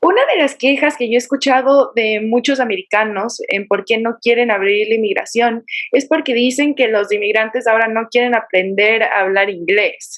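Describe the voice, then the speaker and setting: A woman with a plain, everyday voice speaks at a moderate pace, her fairly high pitch showing ordinary pitch variation. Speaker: podcast host. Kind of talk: interview question.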